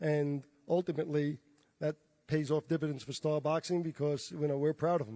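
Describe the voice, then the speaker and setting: With a New York accent, a man speaks at a fairly quick pace and fairly high pitch, his tone dark and mellow and his intonation fairly even. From New York, the Bronx. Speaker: boxing promoter. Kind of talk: press conference remarks.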